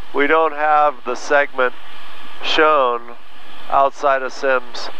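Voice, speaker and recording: The sound is dry with no echo. Light background noise is present. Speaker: flight instructor. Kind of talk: tutorial. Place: plane. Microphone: headset.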